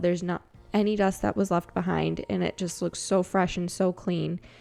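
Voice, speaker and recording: A woman speaks at a moderate pace in a relaxed tone. Music plays in the background. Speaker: cleaning vlogger. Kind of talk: casual voiceover narration. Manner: relaxed, chatty.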